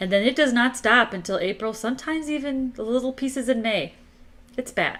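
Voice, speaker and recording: This woman has a high pitch and an American accent. She talks at a fairly quick pace. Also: ordinary pitch variation. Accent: Midwestern, mostly shed. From northern Illinois, Chicago area. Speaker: motorcycle channel co-host. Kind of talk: casual live-stream chat.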